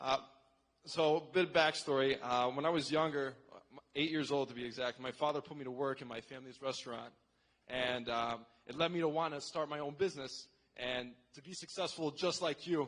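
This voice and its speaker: A man with a plain, everyday voice speaks at a fairly quick pace and fairly high pitch, his intonation fairly even but his loudness swinging widely. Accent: American. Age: 18. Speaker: audience member asking a question. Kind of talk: question at town hall. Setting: convention center with audience.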